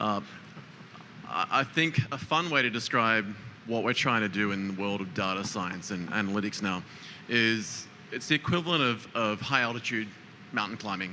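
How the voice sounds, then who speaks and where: Pausing long and often, a man with an Australian accent speaks at a moderate pace in a fairly low pitch with ordinary pitch variation. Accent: Australian, noticeable. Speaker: data analytics commentator. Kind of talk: panel discussion. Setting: live tech show set.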